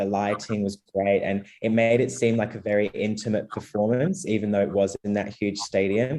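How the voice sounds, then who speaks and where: Speaking fairly quickly with an Australian accent, a man has a fairly low, dark, mellow voice and fairly even intonation. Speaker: Eurovision commentator. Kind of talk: casual panel discussion.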